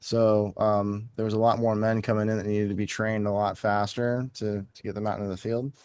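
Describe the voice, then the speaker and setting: Using a normal speaking voice, this man talks fairly quickly at a medium pitch. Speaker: podcast co-host, Air Force veteran, drummer. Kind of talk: casual podcast conversation.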